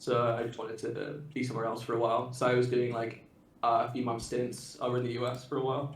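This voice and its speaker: Amid audible room echo, a man rattles along at a very fast pace, his medium-pitched voice somewhat breathy and his intonation monotone and flat. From UK. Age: 20s. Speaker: Magic card game player. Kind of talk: casual chat.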